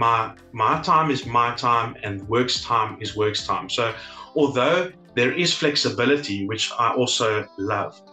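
At a fairly slow pace, a man speaks at a medium pitch with ordinary pitch variation, with audible room echo and faint music in the background. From South Africa. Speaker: legal assistant. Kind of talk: interview answer. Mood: positive, appreciative. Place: home room. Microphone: webcam.

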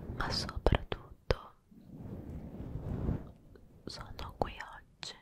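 A soft-spoken woman whispers at a very slow pace. Loud background noise is present. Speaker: ASMR creator. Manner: soft close-mic ASMR whisper. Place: studio. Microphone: studio mic.

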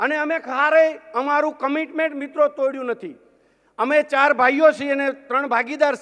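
Extremely high pitch from a man, with a bright, sharp tone, fairly even intonation and a quiet background. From Gujarat, rural Saurashtra; Gujarat. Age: 50s. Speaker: businessman; speaker. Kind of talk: keynote speech. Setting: stage with audience. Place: hall. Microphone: podium.

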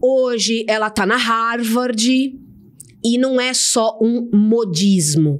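Over a quiet background, a woman speaks very slowly at a fairly high pitch with ordinary pitch variation. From São Paulo, Brazil. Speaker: storytelling specialist; podcast guest. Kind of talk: casual interview chat. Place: studio. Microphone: studio mic.

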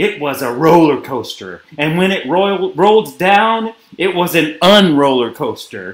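A natural reading voice carries this recording.

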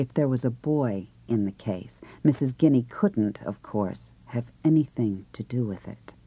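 Speaking fairly slowly in an American accent, a woman with a very deep, low pitch and a dark, mellow tone uses lively intonation on a very clean recording with a silent background. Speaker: actress. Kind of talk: audiobook novel reading.

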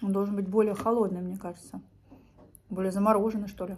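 A woman's somewhat breathy voice, animated in tone, at a very fast pace. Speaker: vlogger. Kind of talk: casual vlog monologue. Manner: chatty, animated. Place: home room. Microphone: phone near.

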